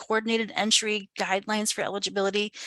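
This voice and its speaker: Speaking at a fairly quick pace, a woman sounds dry and close with no echo against a quiet background. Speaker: homeless service center director chairing a coalition meeting. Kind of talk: meeting update. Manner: fast.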